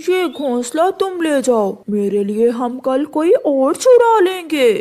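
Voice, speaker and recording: A cartoonish character voice, high in pitch, moves along at a fairly slow pace. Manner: sly, conspiratorial.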